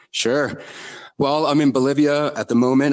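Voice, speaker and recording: Someone with an American accent speaks at a moderate pace. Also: man. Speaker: drummer. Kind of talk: podcast interview. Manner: many fillers and hesitations.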